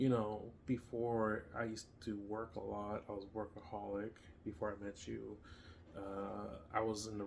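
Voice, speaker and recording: Using monotone, flat intonation, a man with a Spanish accent and fairly low pitch speaks at a moderate pace. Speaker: homestead channel co-host. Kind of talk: casual chat. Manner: halting.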